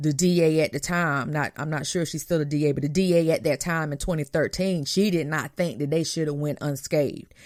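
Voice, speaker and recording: A woman speaks at a fairly quick pace in a very deep, low pitch, with hardly any pauses. The recording is very clean with a silent background. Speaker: podcast host. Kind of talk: casual talk show commentary. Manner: animated; halting, repeats words.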